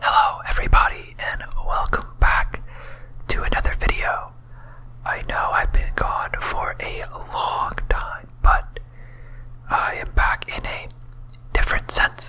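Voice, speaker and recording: A whispering voice moves at a very slow pace with long, frequent pauses over noticeable background noise. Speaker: ASMR content creator. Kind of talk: casual talk to camera, soft-spoken technical explanation. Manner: whispered.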